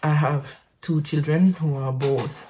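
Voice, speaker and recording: A woman speaks at a very deep, low pitch with a dark, mellow, somewhat breathy tone. Her intonation stays fairly even on a very clean recording with a silent background. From French Caribbean island. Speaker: podcaster. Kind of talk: casual monologue. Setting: home office. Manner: halting, many fillers and repetitions.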